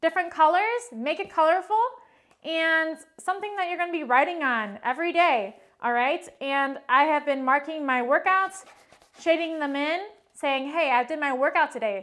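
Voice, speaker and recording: Her voice is high and bright, with a sharp tone, as this woman talks at a moderate pace with ordinary pitch variation. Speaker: fitness instructor. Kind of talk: workout tutorial intro. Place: empty room. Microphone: camera far.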